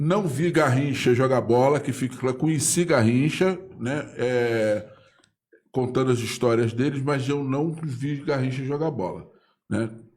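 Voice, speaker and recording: In a room with audible echo, a man speaks at a fairly slow pace in a medium pitch with ordinary pitch variation. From Brazil, Pau Grande (Magé, Rio de Janeiro state). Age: 60s. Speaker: local writer and political commentator. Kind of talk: casual live interview. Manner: halting, repetitive.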